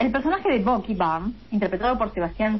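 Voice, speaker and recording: There is noticeable background noise behind a woman whose pitch is fairly high. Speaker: radio co-host. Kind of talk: casual chat. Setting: remote from home.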